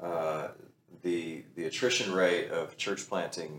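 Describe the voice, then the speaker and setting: This man has a very deep, low voice and a Texan accent. He talks at a fairly slow pace. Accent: Texan American English. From Texas. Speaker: pastor. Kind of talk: casual chat.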